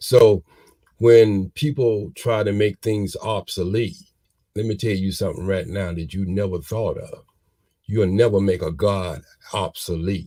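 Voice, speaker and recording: Somewhat breathy and dark, mellow in tone, a man speaks fairly slowly at a fairly low pitch. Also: ordinary pitch variation. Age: 60s. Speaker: community elder and father. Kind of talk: motivational talk. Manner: animated.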